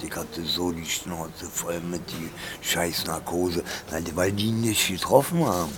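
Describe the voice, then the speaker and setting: Fairly slow speech from a man with a very deep, low pitch and fairly even intonation, amid noticeable background noise and audible room echo. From Berlin. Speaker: homeless man. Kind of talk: casual chat. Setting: underground train station.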